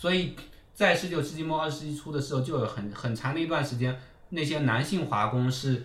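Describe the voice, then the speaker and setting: The pitch of this man's voice varies in an ordinary way. He speaks at a fairly quick pace. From China, Fujian. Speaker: political scientist, university postdoc lecturer. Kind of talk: casual interview conversation. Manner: fast.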